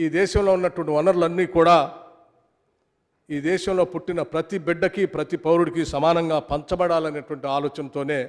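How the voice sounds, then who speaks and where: A man with a high pitch speaks with fairly even intonation against a quiet background. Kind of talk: formal assembly speech. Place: hall. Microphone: podium.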